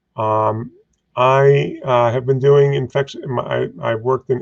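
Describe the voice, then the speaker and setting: Here a man with a New York accent talks at a medium pitch with ordinary pitch variation. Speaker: infectious disease physician and professor. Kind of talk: panel discussion.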